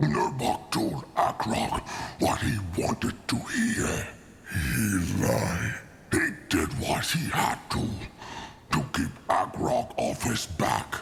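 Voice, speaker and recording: A man growls in a put-on character voice at a very slow pace, with clear background noise behind him. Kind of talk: video game dialogue. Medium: machinima. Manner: refers to himself in third person; grim, unrepentant.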